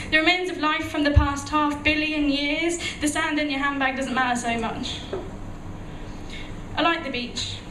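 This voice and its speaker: A woman's raised, projected voice is high-pitched with fairly even intonation. Long, frequent pauses break it up over noticeable background noise. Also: moderate pace. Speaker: spoken word poet. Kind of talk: spoken word poetry performance. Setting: live venue.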